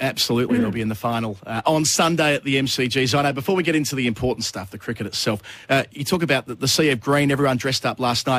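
A man's medium-pitched voice with an Australian accent, very fast pace and hardly any pauses. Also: ordinary pitch variation. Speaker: radio host. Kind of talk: casual chat. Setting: studio.

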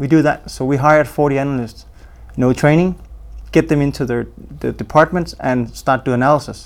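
Fairly even intonation from a man of medium pitch with a Danish accent. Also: fairly quick pace. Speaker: police intelligence program manager. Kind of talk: interview.

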